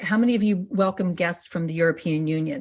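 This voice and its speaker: A woman is speaking. Her pitch sits fairly low. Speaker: webinar presenter. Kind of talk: webinar presentation. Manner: fast; halting, many fillers.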